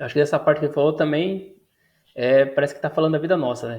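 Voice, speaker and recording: A very fast man's voice, fairly high in pitch, with fairly even intonation. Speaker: YouTuber reacting to a video. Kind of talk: casual react commentary. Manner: hesitant, with fillers.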